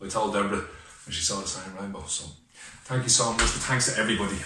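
Over music in the background and audible room echo, a man talks at a very fast pace with a fairly low pitch and fairly even intonation. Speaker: personal vlogger. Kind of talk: casual vlog chat. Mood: heartfelt, grateful, emotional. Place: home room. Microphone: webcam.

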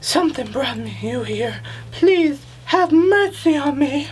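Delivered at a fairly slow pace, this put-on character voice sits over clear background noise. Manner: pleading, desperate.

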